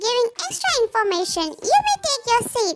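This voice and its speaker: A woman does a put-on character voice. It is squeaky and extremely high-pitched. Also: moderate pace. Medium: read story. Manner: stern, curt.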